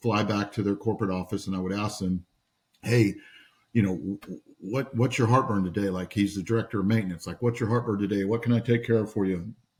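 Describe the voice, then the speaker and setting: Somewhat breathy, a man with a fairly low pitch talks at a fairly quick pace. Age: 60s. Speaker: entrepreneur. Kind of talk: podcast interview storytelling. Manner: animated, repeats words often.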